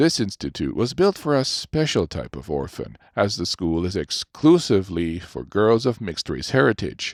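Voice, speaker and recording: Very wide pitch swings at a moderate pace, in a very clean recording with a silent background. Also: man. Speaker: voice actor. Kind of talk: audiobook narration.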